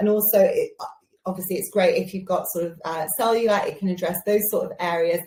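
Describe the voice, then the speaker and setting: Speaking with an English Midlands accent, a woman has a fairly high pitch. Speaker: beauty show host. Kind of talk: live shopping show presentation. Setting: live stream. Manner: casual, with many fillers.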